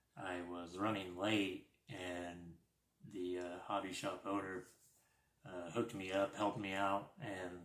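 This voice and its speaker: A man speaks quietly at a very slow pace. His very deep, low voice keeps a monotone, flat intonation. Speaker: RC hobby YouTuber. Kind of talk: live stream unboxing. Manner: quiet, keeping voice down.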